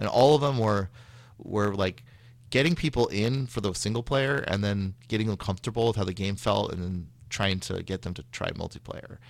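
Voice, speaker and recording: On a very clean recording with a silent background, a man with a Californian accent speaks at a moderate pace with a fairly low pitch. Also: ordinary pitch variation. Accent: American (Californian). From Northern California (Sacramento). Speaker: game designer. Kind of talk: interview.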